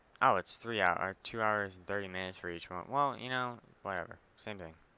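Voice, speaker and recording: A soft-spoken man talks at a fairly quick pace in a fairly low pitch. His loudness swings widely while his pitch varies in an ordinary way. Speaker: gaming YouTuber. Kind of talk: let's play commentary. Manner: soft-spoken, mic set low; casual, filler-heavy. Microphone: headset mic without pop filter, placed at chin, breathing noise.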